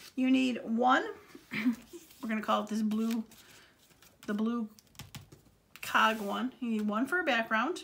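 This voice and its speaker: A woman with a fairly high pitch talks at a moderate speed, with noticeable background noise present. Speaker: craft tutorial creator. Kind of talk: tutorial. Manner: casual, hesitant with many fillers.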